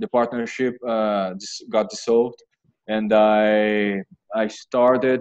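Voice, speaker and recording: In a Brazilian Portuguese accent, a man speaks at a fairly slow pace with a fairly low pitch and a monotone, flat intonation. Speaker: MBA applicant. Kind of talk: interview. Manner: halting.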